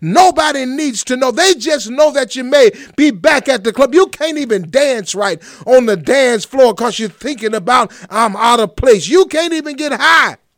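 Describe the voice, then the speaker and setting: A man talks at a moderate pace in an extremely high pitch. His tone is animated, with lively intonation. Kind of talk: sermon. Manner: animated, exhortative, call-and-response style; rhetorical, repeating questions to draw the congregation in.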